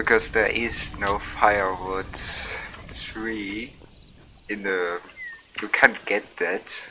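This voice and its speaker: A soft-spoken man talks at a very slow pace and a fairly low pitch, with long, frequent pauses. His intonation is monotone and flat, and noticeable background noise is audible. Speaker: gaming streamer. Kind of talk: casual gameplay commentary. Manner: quiet, soft-spoken; slurred, drunk-sounding.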